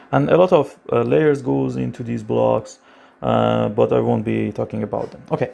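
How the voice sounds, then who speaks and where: A man is speaking. He has a non-native accent. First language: not English. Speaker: machine learning educator. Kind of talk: tutorial. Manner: halting, many fillers.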